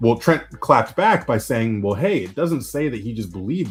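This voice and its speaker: A man speaking, with music in the background. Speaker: after-show panelist. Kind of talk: casual chat. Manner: fast.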